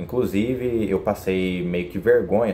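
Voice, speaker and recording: A man with a Brazilian accent and a fairly low pitch. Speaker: vlogger. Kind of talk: casual vlog monologue. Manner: colloquial, informal.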